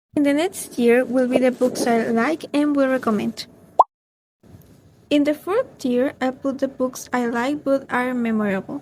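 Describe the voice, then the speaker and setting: In a Spanish accent, a woman talks at a fairly slow pace with a high pitch and ordinary pitch variation. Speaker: book vlogger. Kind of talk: casual book review vlog.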